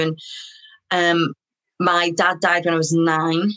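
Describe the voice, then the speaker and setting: Flat and monotone, the speaker talks in a Liverpool accent. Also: woman. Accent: Scouse (Liverpool). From Liverpool, England. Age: 30s. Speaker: artist. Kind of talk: interview.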